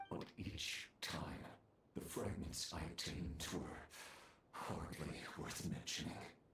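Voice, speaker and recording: In a put-on character voice, a man speaks fairly slowly at a very deep, low pitch, with long, frequent pauses and a slight echo. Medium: video game. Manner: grandiose, menacing.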